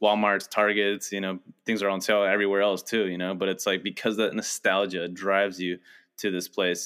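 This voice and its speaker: A fairly low-pitched male voice, flat and monotone, at a fairly quick pace. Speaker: podcast co-host. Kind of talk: casual chat.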